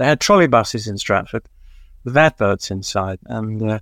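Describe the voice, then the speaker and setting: With a London accent, a man talks at a fairly quick pace in a very clean recording with a silent background and a dry, close sound with no echo. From East London. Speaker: music journalist and author. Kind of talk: casual interview, storytelling.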